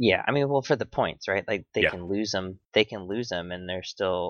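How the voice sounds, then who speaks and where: A man with an ordinary speaking voice talks at a fairly low pitch, his pitch varying in an ordinary way. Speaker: podcast host. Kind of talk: casual chat. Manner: casual, profane.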